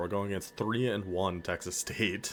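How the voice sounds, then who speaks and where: A man with an American accent, fairly low in pitch, at a fairly quick pace. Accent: northern US accent, slips through. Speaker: video game streamer. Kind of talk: gameplay commentary. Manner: animated.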